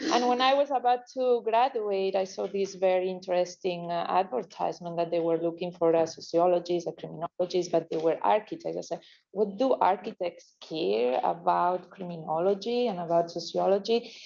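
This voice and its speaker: The speaker has a Spanish accent. The pace is fairly quick, with hardly any pauses. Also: woman, medium pitch for a woman, ordinary pitch variation. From Spain. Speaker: criminologist consultant. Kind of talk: business presentation. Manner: halting, many fillers.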